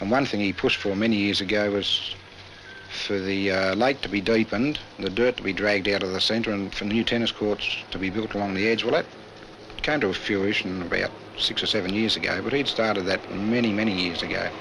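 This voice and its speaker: With noticeable background noise, a man in a rural Australian accent talks at a fairly quick pace in a relaxed tone, his fairly low voice keeping a fairly even intonation. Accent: broad rural Australian. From Australia, rural Victoria (Boort). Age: 40s. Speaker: country newspaper editor. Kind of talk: interview. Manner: relaxed, conversational.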